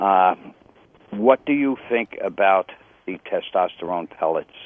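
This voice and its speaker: Fairly slow speech from a man, fairly low in pitch, with ordinary pitch variation. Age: 60s. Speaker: caller. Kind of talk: phone-in question. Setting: phone call. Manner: halting, many fillers.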